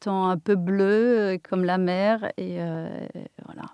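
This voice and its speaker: Over a silent background in a very clean recording, a woman speaks very slowly at a medium pitch. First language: Polish (speaking French). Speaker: architect and interior designer. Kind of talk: interview. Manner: halting.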